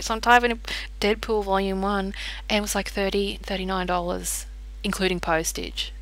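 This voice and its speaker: A woman speaks in an Australian accent. Room echo is audible. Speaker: tarot card reader. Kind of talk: casual chat. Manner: quiet; animated.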